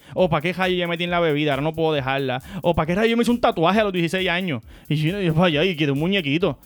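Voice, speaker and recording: A man at a high pitch and very fast pace, with ordinary pitch variation. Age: 30s. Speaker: family podcast host. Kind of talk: casual chat.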